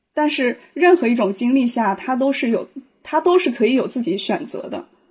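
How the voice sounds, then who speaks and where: This woman talks at a moderate pace in a high pitch, her intonation lively. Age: 30s. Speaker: psychological counselor. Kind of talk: casual discussion. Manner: hesitant, many fillers.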